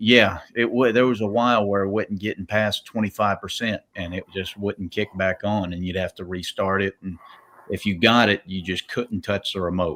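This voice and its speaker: A man speaks at a fairly low pitch and moderate pace with fairly even intonation. The sound is dry and close with no echo. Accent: Southern. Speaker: professional wrestler. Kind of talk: casual chat. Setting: live stream.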